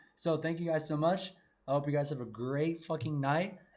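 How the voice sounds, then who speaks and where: A man speaks very fast in an animated tone. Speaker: podcast host. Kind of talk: casual chat.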